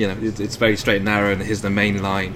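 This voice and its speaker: A man speaks with an English accent at a fairly quick pace and a fairly low pitch. The recording has audible room echo and noticeable background noise. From England (Evesham, Worcestershire). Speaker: animator. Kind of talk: casual chat. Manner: halting.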